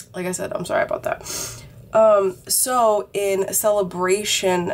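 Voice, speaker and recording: A woman is talking over noticeable background noise. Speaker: vlogger. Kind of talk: casual chat. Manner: casual with many fillers.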